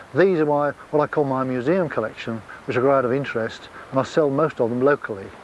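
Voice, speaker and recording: Very fast speech in a southern English accent with ordinary pitch variation. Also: man, fairly high pitch for a man. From Kent, England. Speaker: apple grower. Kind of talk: documentary interview talk. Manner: relaxed, conversational.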